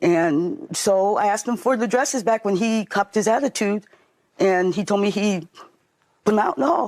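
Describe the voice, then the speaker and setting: A woman with a normal speaking voice talks at a fairly quick pace and medium pitch, with ordinary pitch variation, very even loudness, and a dry, close sound with no echo. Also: very clean recording, silent background. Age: 60s. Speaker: litigant in small claims court. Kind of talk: courtroom testimony. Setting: TV courtroom.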